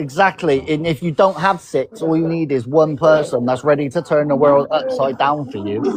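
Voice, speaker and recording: A man's fairly high voice shows ordinary pitch variation against noticeable background noise. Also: moderate pace, hardly any pauses. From England. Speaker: podcast host. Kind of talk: casual chat. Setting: live stream.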